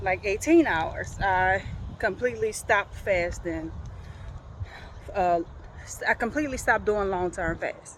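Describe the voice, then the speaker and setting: A woman talks at a fairly slow pace, with long, frequent pauses. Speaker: vlogger. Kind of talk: casual vlog. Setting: outdoors walking in a park. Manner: halting.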